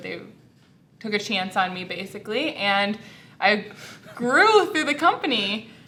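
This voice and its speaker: A woman speaks, and audible room echo surrounds her voice. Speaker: customer service manager. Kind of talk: casual interview. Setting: workplace studio, in safety vests. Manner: loud.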